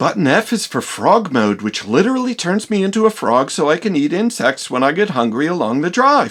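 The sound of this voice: Fairly quick and with hardly any pauses, this cartoonish character voice sits at a middle pitch and swings very widely up and down.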